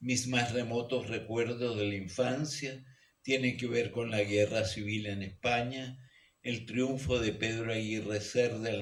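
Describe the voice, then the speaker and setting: Audible room echo surrounds a somewhat breathy man speaking at a fairly slow pace, his medium pitch held in fairly even intonation. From Chile, Santiago. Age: 90s. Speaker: geologist and author. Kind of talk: reading aloud from own memoir. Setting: book launch event in a radio studio hall.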